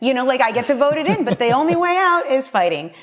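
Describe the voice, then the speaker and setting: A woman with a Spanish accent, high-pitched, at a fairly quick pace. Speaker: political candidate. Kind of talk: casual chat. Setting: at her home.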